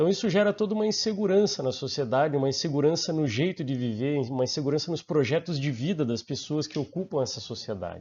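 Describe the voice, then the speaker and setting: Speaking with a Brazilian accent, a man talks at a very fast pace with lively intonation and hardly any pauses. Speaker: master's student and researcher. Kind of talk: conference presentation. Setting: online conference. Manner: hesitant, many fillers.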